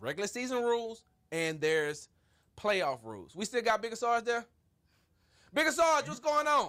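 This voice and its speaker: Raising and projecting his voice, a man speaks at an extremely high pitch with very wide swings, in a bright, sharp and animated tone at a moderate pace, with long, frequent pauses. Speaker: sports talk show host. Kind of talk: casual sports debate. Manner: loud.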